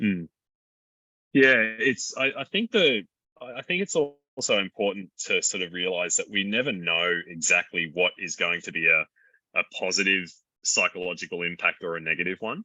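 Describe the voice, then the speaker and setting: The accent is Australian, carried by a male speaker. He keeps a moderate tempo. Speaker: doctor and mountain rescuer. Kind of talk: conversational interview. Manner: halting.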